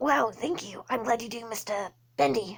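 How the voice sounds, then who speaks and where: A raspy, cartoonish character voice from a woman, fairly high-pitched, at a moderate pace. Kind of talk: 1930s rubber-hose cartoon voice.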